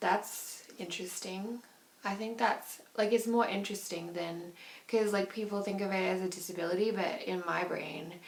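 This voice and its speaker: Noticeable background noise and audible room echo surround a woman's voice. She speaks at a moderate pace with a medium pitch. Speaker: vlogger. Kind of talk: personal video diary. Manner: animated.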